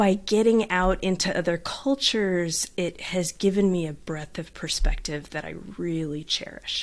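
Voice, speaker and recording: With a Southern California accent, a woman speaks at a moderate pace with hardly any pauses. Her pitch is medium with ordinary variation. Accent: Southern California twang. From Southern California, beach town. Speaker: life coach. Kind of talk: podcast interview.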